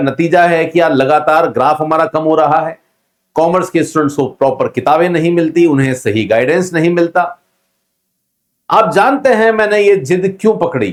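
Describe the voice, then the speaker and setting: A man talks with a high voice and ordinary pitch variation. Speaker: commerce coaching teacher. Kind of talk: emotional address to students. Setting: in front of camera in classroom. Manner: usually loud.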